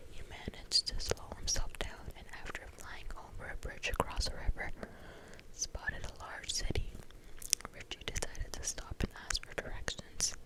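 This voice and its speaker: Whispering amid noticeable background noise, a woman shows big swings in loudness. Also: moderate pace. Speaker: ASMR reader / whisper channel host. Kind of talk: ASMR book reading. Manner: whispered, soft.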